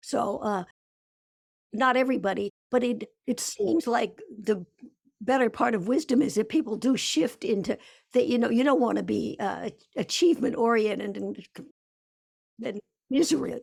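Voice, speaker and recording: A woman speaks with vocal fry. Her speech has long, frequent pauses. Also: fairly high pitch for a woman, ordinary pitch variation, moderate pace. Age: 80s+. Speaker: author and researcher. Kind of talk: interview. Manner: halting.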